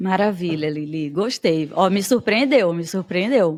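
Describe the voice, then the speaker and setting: In a Bahian accent, a woman speaks at medium pitch and a fairly slow pace, her tone animated and her intonation lively, on a very clean recording with a silent background. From Bahia, Brazil. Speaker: podcast host and teacher. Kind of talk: podcast interview.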